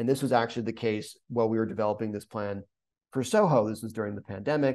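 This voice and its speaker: In a normal speaking voice, a man with an American accent speaks at a fairly low pitch with fairly even intonation against a quiet background. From US Northeast, rural coastal Maine. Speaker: urban planner. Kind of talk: webinar presentation. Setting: video call. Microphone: webcam.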